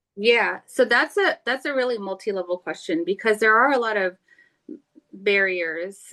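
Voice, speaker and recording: Against a quiet background, a woman talks at a fairly slow pace in a bright, sharp tone with lively intonation. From South Florida, US. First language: not English (language unstated). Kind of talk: interview conversation. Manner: halting, searching for words.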